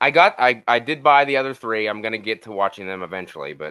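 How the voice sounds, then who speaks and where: A man with a Pittsburgh accent speaks with a bright, sharp tone at a medium pitch and ordinary pitch variation. The recording is very clean, with a silent background. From western Pennsylvania, near Pittsburgh. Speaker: horror movie reviewer. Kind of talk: casual chat.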